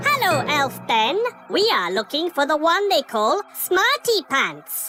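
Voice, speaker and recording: In a cartoonish character voice with a high pitch, someone talks at a fairly slow pace over clear background noise. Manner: formal, stilted, no contractions; literal, matter-of-fact.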